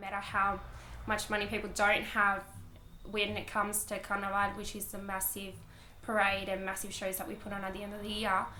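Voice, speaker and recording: A woman's fairly quick speech in a monotone, flat intonation, with noticeable background noise and audible room echo. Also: medium pitch for a woman, big swings in loudness. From Uruguay, moved to Australia at nine. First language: Spanish. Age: 20s. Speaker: dancer. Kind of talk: documentary interview. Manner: casual, with filler words.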